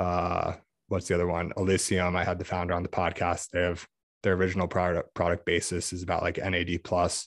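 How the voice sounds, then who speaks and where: A man's very deep, low voice, monotone and flat, at a fairly quick pace against a quiet background. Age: 20s. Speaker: podcast host. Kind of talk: casual chat.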